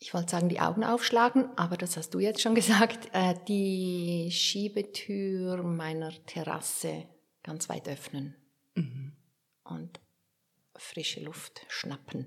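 Her pace is very slow. The woman's pitch sits fairly low, with ordinary pitch variation. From Switzerland, Werdenberg (St. Gallen). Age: 50s. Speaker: author and biographer. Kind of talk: interview.

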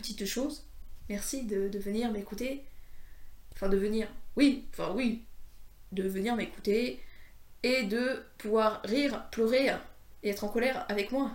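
Speaking at a fairly slow pace with long, frequent pauses, a woman with a fairly high pitch and ordinary pitch variation is heard in a space with audible room echo. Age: 20s. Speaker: podcaster. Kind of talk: casual monologue. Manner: halting.

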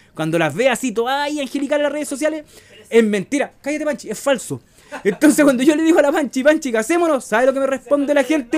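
In a Chilean accent, the speaker talks at a very fast pace. The tone is animated and the intonation lively. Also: man. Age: 40s. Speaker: podcast host. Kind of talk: casual chat. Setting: home kitchen.

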